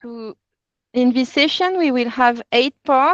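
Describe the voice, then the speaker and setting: Speaking at a fairly slow pace with a French accent, a woman uses a high pitch with ordinary pitch variation against a quiet background, the sound dry and close with no echo. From France. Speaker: workshop facilitator, NGO consultancy CEO. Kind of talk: online training session. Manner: halting, with frequent repetitions.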